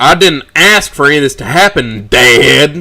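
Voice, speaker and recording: Putting on a growling character voice, a man speaks at a fairly high pitch and a moderate pace with lively intonation. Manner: growling, sarcastic.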